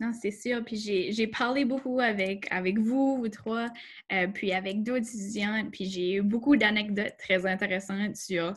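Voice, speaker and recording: A somewhat breathy voice moves at a fairly slow pace with fairly even intonation. The recording is very clean, with a silent background. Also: woman. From Acadia, southeast New Brunswick. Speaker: workshop host. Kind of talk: panel discussion.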